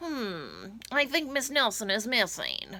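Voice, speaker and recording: A woman uses a put-on character voice at a fairly high pitch. She speaks at a fairly slow pace with lively intonation. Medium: read story.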